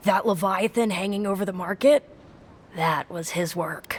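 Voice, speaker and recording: A raspy, female-sounding put-on character voice at medium pitch and a moderate pace. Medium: video game. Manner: eager.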